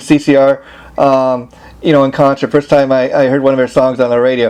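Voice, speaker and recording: A man speaks over noticeable background noise. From Los Angeles, US. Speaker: interviewer. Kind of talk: interview. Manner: many fillers, um and you know.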